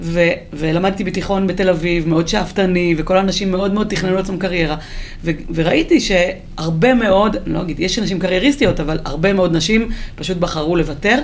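In a space with audible room echo and noticeable background noise, a woman speaks at a fairly quick pace. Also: medium pitch for a woman, ordinary pitch variation. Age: 40s. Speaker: author and transport executive. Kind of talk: interview. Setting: studio.

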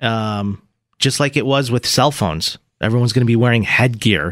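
A man talks in an animated tone. The recording is very clean and dry, close with no echo and a silent background. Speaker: radio host. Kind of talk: mock car-dealership sales pitch, bantering. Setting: radio studio. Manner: animated, jokey.

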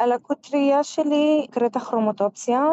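A woman with an Arabic accent and fairly even intonation. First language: Arabic (speaking Hebrew). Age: 30s. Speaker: Paralympic goalball player. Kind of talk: interview.

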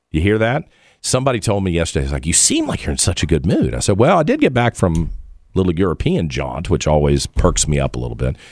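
Very fast speech from a man with a very deep, low pitch, very wide pitch swings and vocal fry. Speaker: radio host. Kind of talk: live talk radio, news commentary. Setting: studio.

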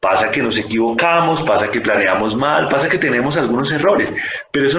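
Audible room echo surrounds a man with a fairly high voice speaking at a moderate pace. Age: 40s. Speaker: physician. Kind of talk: interview.

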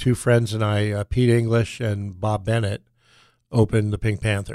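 Heard on a very clean recording with a silent background, the sound is dry and close with no echo. A man with an unremarkable speaking voice talks at a moderate pace and a fairly low pitch. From Southern California. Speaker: music venue owner. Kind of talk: interview.

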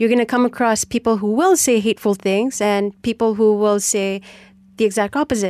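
Heard dry and close with no echo against a quiet background, the speaker talks at a fairly quick pace with a Malaysian accent and fairly even intonation. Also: woman, fairly high pitch for a woman. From Penang, Malaysia. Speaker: politician and musician. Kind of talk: radio interview.

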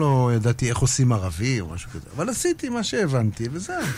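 At a fairly quick pace, a man with a medium pitch uses very wide pitch swings. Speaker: music industry figure and musician. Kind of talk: casual interview. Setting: radio studio.

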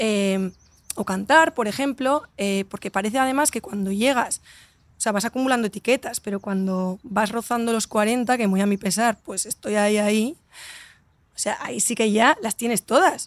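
A woman speaks at a moderate pace with a fairly high pitch and ordinary pitch variation. The sound is dry and close, with no echo. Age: 30s. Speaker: entrepreneur and author. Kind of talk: casual interview. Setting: outdoors in a hotel garden. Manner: animated.

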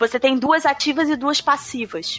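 A woman's voice, bright and sharp in tone, comes at a moderate pace. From Brazil. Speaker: English teacher. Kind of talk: casual panel discussion.

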